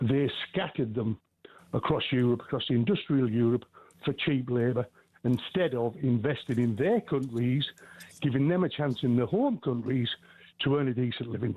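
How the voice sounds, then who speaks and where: This man has a normal speaking voice, medium in pitch, moving at a moderate pace with ordinary pitch variation and very even loudness. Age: 60s. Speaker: caller. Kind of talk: call-in radio opinion.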